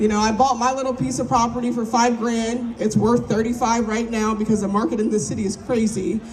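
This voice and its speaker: With an animated tone, a woman talks at a fairly quick pace in a fairly high pitch, with hardly any pauses. Noticeable background noise and audible room echo are present. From South Jersey, Cape May. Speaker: community organizer. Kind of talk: interview monologue. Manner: casual, animated.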